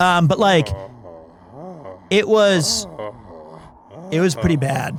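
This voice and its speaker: Here a man speaks at a high pitch and a very slow pace. His intonation is lively, and background noise is noticeable. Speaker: streamer playing a video game and reading its dialogue aloud.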